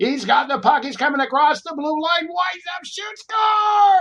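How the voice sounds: A man's put-on character voice at an extremely high pitch, moderate pace.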